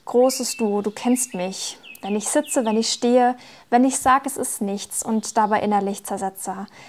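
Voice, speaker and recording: Speaking at a very slow pace, a woman with a fairly high pitch uses ordinary pitch variation on a very clean recording with a silent background. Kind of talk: poetry slam performance.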